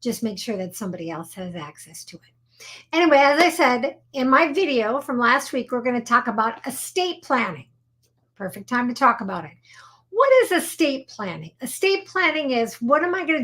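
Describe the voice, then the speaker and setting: In an American accent, a woman speaks at a moderate pace in a high voice, with very wide pitch swings and big swings in loudness. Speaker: attorney. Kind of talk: live show explainer. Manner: casual, conversational.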